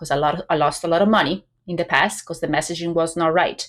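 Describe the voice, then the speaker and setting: In a very clean recording with a silent background, a woman with an Italian accent speaks at a moderate pace in a fairly low pitch. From Italy. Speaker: business coach. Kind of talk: podcast interview.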